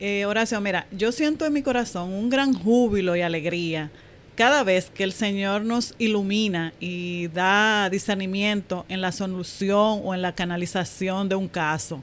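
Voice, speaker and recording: A woman's ordinary speaking voice, medium in pitch with ordinary pitch variation, at a fairly slow pace with hardly any pauses. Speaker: banking professional. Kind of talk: testimony.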